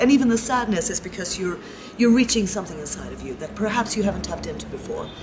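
A woman with a fairly high pitch talks at a very fast pace, her loudness swinging widely and her pitch varying in an ordinary way, with noticeable background noise behind her. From Sweden, Stockholm. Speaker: spiritual travel participant. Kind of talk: interview. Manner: animated. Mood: warm, enthusiastic.

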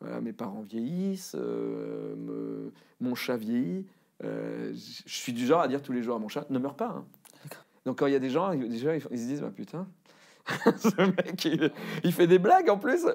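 Against a quiet background, a man speaks at a fairly slow pace with long, frequent pauses. His loudness swings widely. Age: 40s. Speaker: cartoonist and voice actor. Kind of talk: interview answer. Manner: casual, self-deprecating. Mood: candid, self-deprecating, personal. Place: studio.

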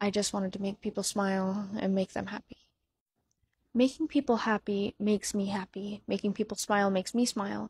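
A woman's somewhat breathy voice keeps a monotone, flat intonation in a dry sound with no echo. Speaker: content creator. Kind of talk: emotional personal talk to viewers. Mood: sad, heartfelt, regretful. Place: home room. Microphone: handheld.

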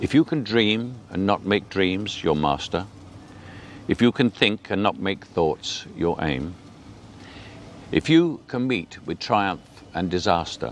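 Speaking very slowly with long, frequent pauses, a man with an English accent uses a fairly low pitch and very wide pitch swings, the sound dry with no echo and light background noise present. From England. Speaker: actor. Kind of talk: poetry reading. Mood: calm, earnest, measured. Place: garden.

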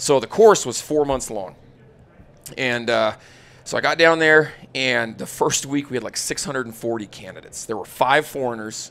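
The speaker has an American accent and an energetic, animated tone, with big swings in loudness. The pace is fairly slow, with ordinary pitch variation. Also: man, medium pitch for a man. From Utah, south of Salt Lake City. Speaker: firearms instructor, former special forces soldier. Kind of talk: casual interview chat. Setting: live at a hunting expo. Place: studio. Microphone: studio mic.

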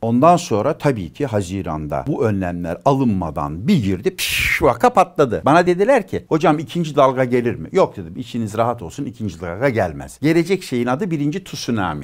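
Animated and full of very wide pitch swings, a man talks at a moderate pace with hardly any pauses and some vocal fry, the background quiet. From Turkey. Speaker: physician and former senior health official; guest. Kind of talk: interview. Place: studio. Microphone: lapel.

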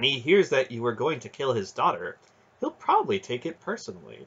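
A man puts on a character voice with a husky, rough edge and a fairly bright tone, at medium pitch. He talks at a fairly quick pace with very wide pitch swings.

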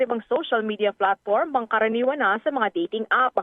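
A woman talks at a fairly quick pace in a fairly high pitch. She has an unremarkable speaking voice. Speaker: radio news reporter. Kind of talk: news reading.

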